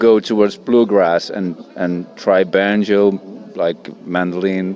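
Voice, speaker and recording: A man speaks at a very slow pace in a fairly low pitch. His intonation stays monotone and flat, with music in the background. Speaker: musician. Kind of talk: interview. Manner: hesitant.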